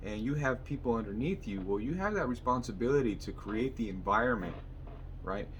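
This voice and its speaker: Speaking at a fairly quick pace, a man with a medium pitch and ordinary pitch variation is heard with audible room echo. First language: Spanish. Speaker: mechanic and vlogger. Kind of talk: motivational vlog monologue.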